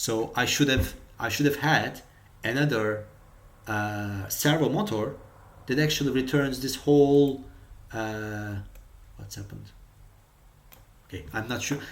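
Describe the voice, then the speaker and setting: Spoken with a non-native accent and ordinary pitch variation, the speech has long, frequent pauses and audible room echo. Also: man, medium pitch for a man. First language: not English. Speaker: robotics hobbyist tutorial maker. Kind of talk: tutorial. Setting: screen recording with OBS. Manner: halting, many fillers and repetitions.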